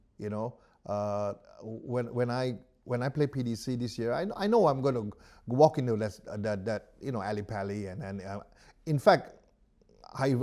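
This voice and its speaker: Lively in intonation, a man with a dark, mellow tone speaks at medium pitch and a moderate pace on a very clean recording with a silent background. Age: 70s. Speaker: professional darts player. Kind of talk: interview answer.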